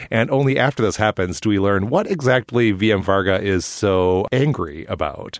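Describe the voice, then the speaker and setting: In a normal speaking voice with an American accent, a man talks at a fairly low pitch with ordinary pitch variation, very even loudness and hardly any pauses. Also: moderate pace, quiet background. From Minnesota. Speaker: podcast host. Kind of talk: casual chat.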